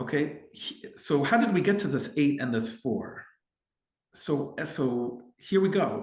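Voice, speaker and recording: Somewhat breathy and fairly high in pitch, a man's voice moves at a very slow pace with very wide pitch swings. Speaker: family lawyer. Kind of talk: legal explainer tutorial. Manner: hesitant fillers and repetitions.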